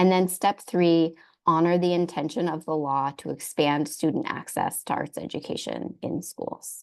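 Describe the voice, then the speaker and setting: Against a quiet background, a woman with a normal speaking voice talks at a moderate pace, fairly low in pitch and with fairly even intonation. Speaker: arts education advocate presenter. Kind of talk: webinar presentation. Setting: video call.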